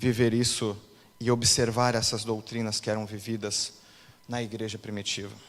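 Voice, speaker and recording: This man speaks at a fairly slow pace. His pitch sits in the medium range. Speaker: pastor. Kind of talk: sermon. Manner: animated.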